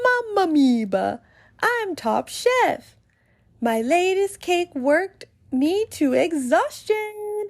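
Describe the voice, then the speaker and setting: A woman puts on a squeaky character voice at an extremely high pitch, her tone swinging very widely while she talks at a very slow pace. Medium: read story. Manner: theatrical, exclamatory.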